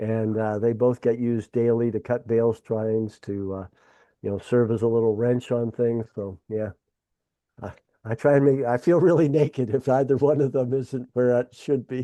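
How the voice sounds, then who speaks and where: A man speaks with an American accent at medium pitch. His tone is dark and mellow, and his intonation stays fairly even. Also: dry, close sound with no echo. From Pennsylvania, US. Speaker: farmer and political candidate. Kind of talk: casual interview.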